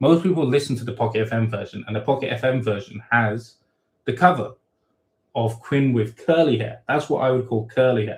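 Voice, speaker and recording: A man speaks at a fairly quick pace with a somewhat breathy voice. His pitch sits at a medium level and varies in an ordinary way. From Thailand. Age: 30s. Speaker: web novel author. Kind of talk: live Q and A stream. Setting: livestream. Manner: casual, many fillers and false starts.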